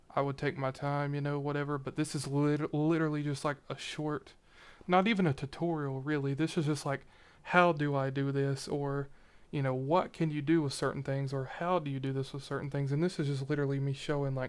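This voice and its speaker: A man talks at a fairly quick pace in a fairly high pitch. His intonation is a flat monotone, and the recording is very clean with a silent background. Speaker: video editor and YouTuber. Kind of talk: screen-recorded editing demo. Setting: at home on his computer. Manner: fast; casual, unscripted.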